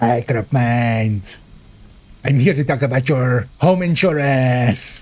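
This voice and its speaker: This is a put-on character voice with a menacing tone. It moves at a fairly slow pace with ordinary pitch variation. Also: man, medium pitch for a man. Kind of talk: mock sales pitch. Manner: creepy, menacing.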